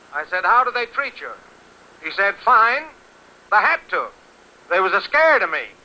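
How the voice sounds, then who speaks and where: A man with an American accent, extremely high pitch and very wide pitch swings, in a raised, projected voice with a bright, sharp tone, at a moderate pace broken by long, frequent pauses. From Connecticut, USA. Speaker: radio announcer / interviewer. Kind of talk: 1930s radio broadcast report.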